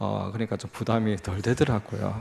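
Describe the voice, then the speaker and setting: In a Busan accent, a man speaks with a fairly low pitch. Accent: Gyeongsang (Busan) accent, can't hide it. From South Korea, Busan. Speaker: lay missionary, guest speaker. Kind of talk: sermon / mission report. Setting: church service. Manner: halting, many fillers.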